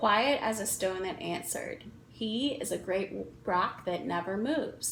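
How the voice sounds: The intonation is lively in this natural reading voice.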